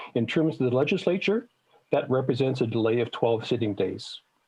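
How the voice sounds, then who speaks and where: A man with a Canadian accent uses an ordinary speaking voice at medium pitch and a moderate pace. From Manitoba, Canada. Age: 60s. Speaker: citizen presenter at legislative committee. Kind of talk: public testimony to committee. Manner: formal.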